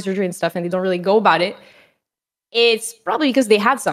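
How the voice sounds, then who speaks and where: This woman talks at a very fast pace with a Quebec accent. Her pitch varies in an ordinary way. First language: French. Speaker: streamer. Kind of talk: casual chat. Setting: video call. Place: home room.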